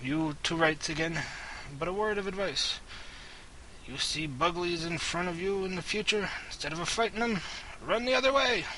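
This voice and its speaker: A gruff, put-on character voice speaks at a moderate pace with long, frequent pauses over clear background noise. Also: man, high pitch for a man. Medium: game stream. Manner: gruff, grumbling, folksy.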